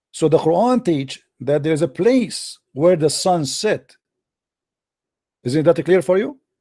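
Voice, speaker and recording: In an Arabic accent, a man speaks fairly slowly at a high pitch with a dark, mellow tone, leaving long, frequent pauses. The recording is very clean, with a silent background. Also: lively intonation. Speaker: religious debater. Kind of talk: heated debate. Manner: animated.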